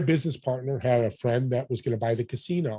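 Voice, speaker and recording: A man's somewhat breathy voice has a medium pitch, a dark, mellow tone and ordinary pitch variation. The recording is very clean against a silent background. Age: 60s. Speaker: podcast host and business networker. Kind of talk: interview conversation. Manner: animated.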